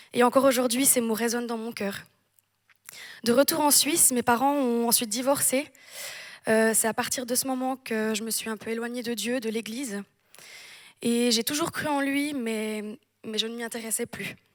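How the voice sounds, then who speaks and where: Her pitch is high, and the woman keeps a moderate pace with fairly even intonation and long, frequent pauses. It is a very clean recording with a silent background. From French-speaking Switzerland and southern France. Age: 20s. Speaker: church member giving baptism testimony. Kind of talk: testimony. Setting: church service with audience.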